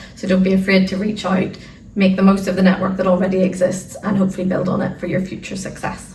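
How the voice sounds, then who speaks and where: Over noticeable background noise and audible room echo, a woman speaks at a fairly quick pace and a medium pitch with an Irish accent. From Ireland. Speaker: arbitration lawyer. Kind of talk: interview.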